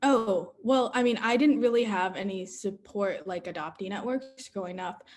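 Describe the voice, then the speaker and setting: This woman has a plain, everyday voice with an American accent, talking at a moderate pace with ordinary pitch variation and hardly any pauses. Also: medium pitch for a woman. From US, Texas. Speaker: community organizer. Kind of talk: panel Q&A.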